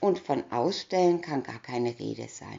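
A woman's calm, playful tone at a very slow pace. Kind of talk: bedtime story reading aloud. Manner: calm, storyteller pacing, playful character voices; clear, even, narrator-like delivery.

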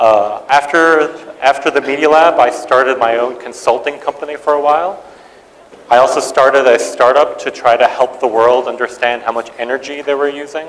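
Man, moderately paced, fairly even in intonation. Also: fairly high pitch for a man. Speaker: tech executive; guest lecturer. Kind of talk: lecture. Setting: stage with audience. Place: hall.

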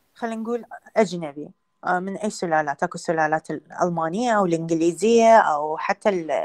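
A woman speaks with an Iraqi accent. The background is quiet. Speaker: veterinary lecturer. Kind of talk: lecture. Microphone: video call.

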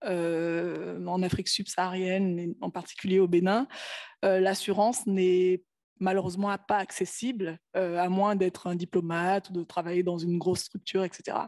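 Against a quiet background, a woman with a medium pitch and a dark, mellow tone speaks at a moderate pace in a monotone, flat intonation. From Benin. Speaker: health startup founder; panelist. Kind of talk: panel presentation. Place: hall. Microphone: podium.

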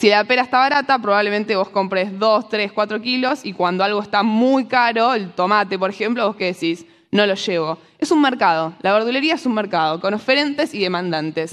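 A woman's medium-pitched voice with a Rioplatense accent at a fairly quick pace with hardly any pauses, against a quiet background. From Argentina. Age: 20s. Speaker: economist and financial educator; speaker. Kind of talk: talk to a live audience. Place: stage. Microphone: lapel.

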